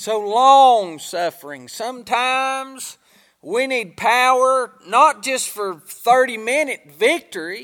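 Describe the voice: With a bright, sharp tone, a man speaks slowly at an extremely high pitch.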